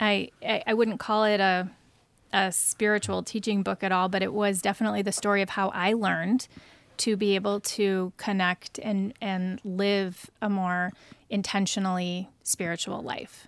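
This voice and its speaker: A woman talks in an ordinary speaking voice at medium pitch and a moderate pace, with fairly even intonation. The recording is very clean, with a silent background. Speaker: author. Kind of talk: interview. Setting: studio.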